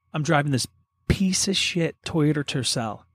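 A man with an American accent has an ordinary speaking voice, fairly high in pitch with ordinary variation, at a fairly slow pace. The recording is very clean with a silent background, and the sound is dry and close with no echo. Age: 40s. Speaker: podcast co-host. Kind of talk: casual chat.

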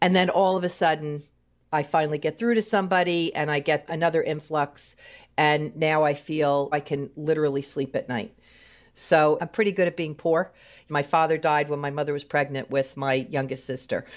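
There is a woman with an American accent and a very deep, low voice, on a very clean recording with a silent background. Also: ordinary pitch variation, moderate pace. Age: 60s. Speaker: marketing manager. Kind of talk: personal testimony.

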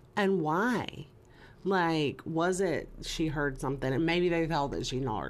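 A woman's fairly low pitch with ordinary pitch variation, a fairly slow pace and audible room echo. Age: 30s. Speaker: true crime podcast host. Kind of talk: casual chat, case narration.

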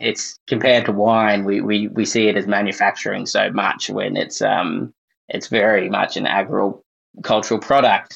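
In an Australian accent, a man talks at a fairly slow pace. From Australia, South Gippsland, Victoria. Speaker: beer journalist. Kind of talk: casual interview.

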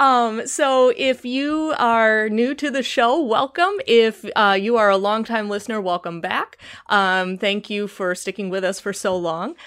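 Fairly high-pitched, a woman talks at a fairly slow pace with ordinary pitch variation. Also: very clean recording, silent background. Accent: Chicago. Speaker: podcast host. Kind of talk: casual chat.

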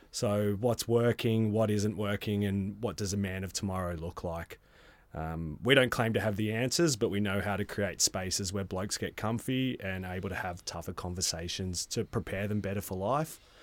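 A man with an Australian accent talks at a moderate pace with a fairly low pitch and hardly any pauses. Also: ordinary pitch variation, very clean recording, silent background. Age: 30s. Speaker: men's wellbeing facilitator. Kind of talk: casual chat.

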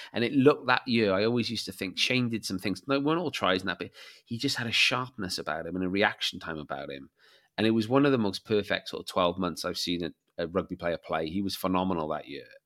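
On a very clean recording with a silent background, a man with a South Welsh accent talks at a very fast pace, fairly low in pitch with lively intonation. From Wales (Barry, south Wales). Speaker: author and rugby fan. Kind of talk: casual interview chat.

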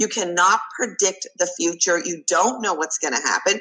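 A slight Canadian accent with ordinary pitch variation at a fairly quick pace. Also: woman. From Canada. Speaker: executive coach. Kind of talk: interview.

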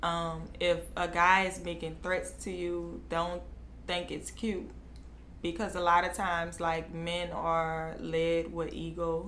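In an American accent, a woman speaks at a very slow pace, with audible room echo around her. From New Orleans. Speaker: beauty brand owner. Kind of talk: interview.

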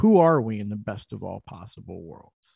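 Recorded very cleanly against a silent background, a man with an American accent speaks at a fairly low pitch in a dark, mellow tone, with a dry, close sound and no echo. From US Northeast, Philadelphia. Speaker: author and pastor. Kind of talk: interview.

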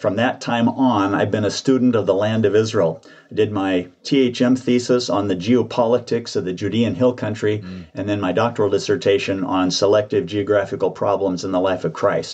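A man talks at a moderate pace with hardly any pauses, in a fairly low pitch. He has an unremarkable speaking voice and fairly even intonation. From US South, central Georgia. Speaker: retired seminary professor and author. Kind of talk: interview.

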